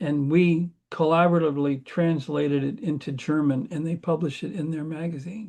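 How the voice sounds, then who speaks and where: A man talks at a fairly quick clip with hardly any pauses, his pitch fairly high and his tone dark and mellow. The background is quiet. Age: 70s. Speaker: computer engineer. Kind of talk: casual chat.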